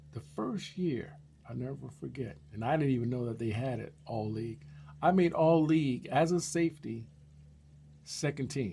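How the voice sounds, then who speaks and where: A man's somewhat breathy, medium-pitched voice at a moderate pace, with lively intonation. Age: 60s. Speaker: YouTuber sharing life stories. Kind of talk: personal storytelling monologue. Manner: casual, animated.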